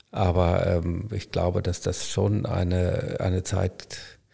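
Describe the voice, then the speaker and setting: With a very deep, low pitch and a dark, mellow tone, a man speaks in a somewhat breathy voice. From Germany, Münster (Westphalia). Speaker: hospital physician, former anaesthetist. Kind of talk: casual interview. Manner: hesitant, many fillers.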